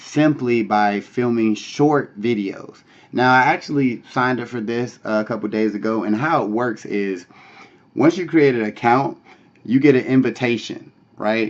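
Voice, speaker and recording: A man's normal speaking voice at a medium pitch and a moderate pace, with ordinary pitch variation. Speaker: online money-making vlogger. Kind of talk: casual vlog tutorial. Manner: casual, many filler words.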